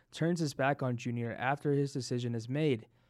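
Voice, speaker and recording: A man with an American accent and a normal speaking voice, medium in pitch, at a moderate pace with fairly even intonation, in a very clean recording against a silent background. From US, Denver. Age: 20s. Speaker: podcast co-host. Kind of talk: casual chat.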